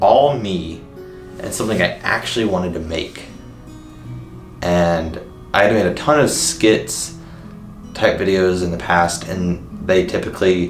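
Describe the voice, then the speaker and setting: Speech unfolds fairly slowly while music sounds in the background. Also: man. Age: 20s. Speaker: vlogger. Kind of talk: casual talk to camera.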